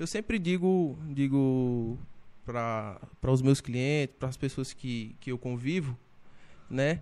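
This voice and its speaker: A man at medium pitch with a dark, mellow tone, ordinary pitch variation and a very slow pace. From Brazilian Northeast, Paraíba interior. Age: 20s. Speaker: barber and entrepreneur. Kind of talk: casual interview chat.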